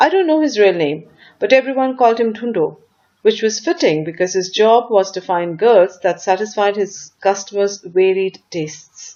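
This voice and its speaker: Using a normal speaking voice, a woman speaks at a moderate pace and medium pitch with lively intonation. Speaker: voice actor. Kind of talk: audiobook story reading.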